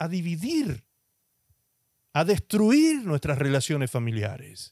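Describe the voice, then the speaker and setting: A man with a high pitch speaks at a fairly slow pace, his voice making very wide pitch swings. The sound is dry with no echo, over a quiet background. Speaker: pastor. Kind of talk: sermon. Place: studio. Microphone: handheld.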